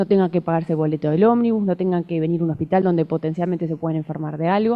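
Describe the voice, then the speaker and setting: The speaker is a woman with a medium pitch. Her voice shows ordinary pitch variation. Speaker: cancer genetics doctor. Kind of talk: conference talk. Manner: fast.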